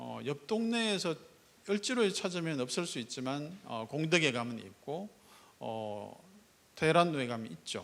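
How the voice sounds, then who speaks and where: A man at a fairly slow pace and fairly high pitch, with very wide pitch swings, in a very clean recording with a silent background. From Gyeongsang province, South Korea. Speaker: startup foundation executive. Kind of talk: keynote speech. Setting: stage with audience.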